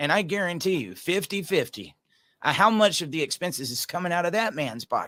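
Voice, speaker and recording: A man with a Georgia accent talks at a fairly quick pace in a high, bright, sharp voice with lively intonation. The recording is very clean, with a silent background. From Georgia, US South. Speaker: podcast host, single dad. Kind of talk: casual chat.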